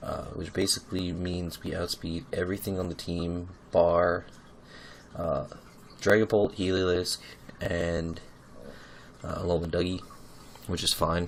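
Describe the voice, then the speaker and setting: Slow-ish and flat, a man with a very deep, low pitch talks in a monotone at a fairly slow pace with long, frequent pauses. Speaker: competitive Pokemon player. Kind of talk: casual gaming commentary.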